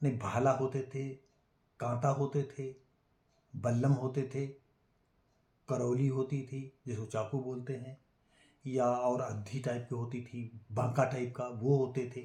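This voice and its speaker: Somewhat breathy with a dark, mellow tone, a man speaks at medium pitch in a monotone, flat intonation with long, frequent pauses. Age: 70s. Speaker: YouTuber telling family history. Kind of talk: storytelling monologue. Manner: halting, many fillers.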